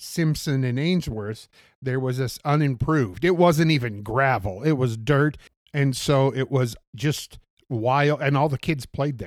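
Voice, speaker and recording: On a very clean recording with a silent background, a man with an unremarkable speaking voice talks at a fairly slow pace in a fairly high pitch, with ordinary pitch variation. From US Pacific Northwest, Portland, Oregon. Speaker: city bus driver. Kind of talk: interview, casual conversation.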